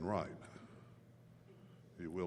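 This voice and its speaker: The speaker is a man. His voice carries an audible room echo. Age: 70s. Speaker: recovery mentor and speaker. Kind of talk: talk to a live audience.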